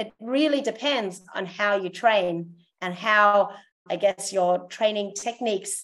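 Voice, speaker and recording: A woman talks with an Australian accent and ordinary pitch variation. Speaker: zoo welfare and training coordinator. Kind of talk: casual interview.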